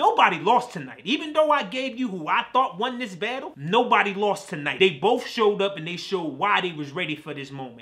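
Over noticeable background noise, a man talks at a fairly quick pace with hardly any pauses, his high-pitched, animated voice showing very wide pitch swings and big swings in loudness. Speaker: reaction channel host. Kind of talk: reaction commentary. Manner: animated, excitable.

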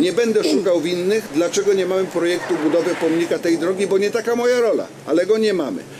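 A high-pitched man talks fairly quickly through noticeable background noise. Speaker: regional councillor. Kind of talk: public debate. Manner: formal. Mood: calm, defensive explaining. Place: street. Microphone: handheld.

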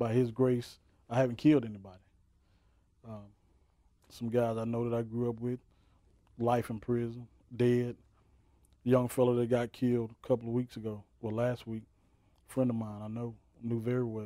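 At a moderate pace, a man with a dark, mellow tone speaks in a monotone, flat way, taking long, frequent pauses, in a dry sound with no echo and a quiet background. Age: 40s. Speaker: minister. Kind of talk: testimony. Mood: earnest personal testimony. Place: studio.

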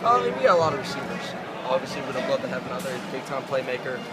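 Over loud background noise, a man speaks at a very fast pace. His pitch varies in an ordinary way. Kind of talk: interview answer. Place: stadium. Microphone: phone near.

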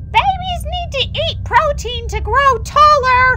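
A female-sounding put-on character voice talks at a fairly slow pace over clear background noise. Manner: screaming, demanding.

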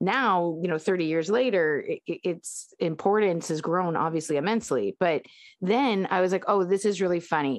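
Against a quiet background, a woman with a plain, everyday voice and a fairly low pitch talks at a moderate pace, with very even loudness and ordinary pitch variation. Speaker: podcast co-host. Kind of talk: casual chat.

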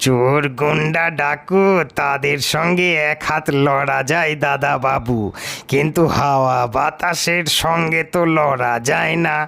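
In a put-on character voice, a man sounds gruff and fairly high-pitched, speaking at a very slow pace with fairly even intonation and very even loudness. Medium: read story. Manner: rustic, deferential.

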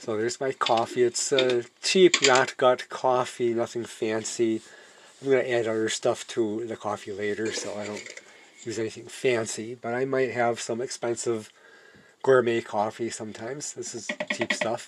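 A man speaks at a moderate pace with fairly even intonation. Noticeable background noise runs underneath. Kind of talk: tutorial. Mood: relaxed, self-deprecating. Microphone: phone near.

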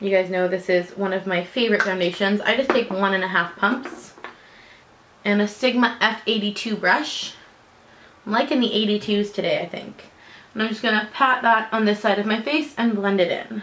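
Her pitch varies in an ordinary way as the woman talks at a moderate pace. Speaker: beauty vlogger. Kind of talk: tutorial. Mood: friendly, relaxed. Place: home room. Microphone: camera far.

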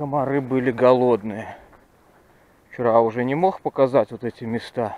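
A man with a dark, mellow, medium-pitched voice speaks at a moderate pace with fairly even intonation and long, frequent pauses, the sound dry with no echo. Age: 40s. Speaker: fishing video blogger; angler vlogger. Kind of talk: outdoor vlog narration. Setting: outdoors by a river. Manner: casual, reflective. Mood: nostalgic, relaxed. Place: forest. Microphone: phone near.

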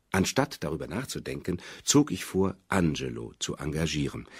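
A man speaks in a very deep, low voice with vocal fry. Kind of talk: literary audiobook reading. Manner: measured, even and unhurried, formal literary delivery.

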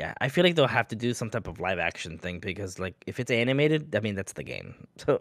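A man's fairly low voice, fairly quick with hardly any pauses and very wide pitch swings, in a dry sound with no echo. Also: quiet background. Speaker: gaming podcast co-host. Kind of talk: casual chat. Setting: video call. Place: home room. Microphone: studio mic.

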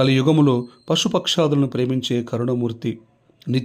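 Someone is reading aloud. They do it in a natural voice.

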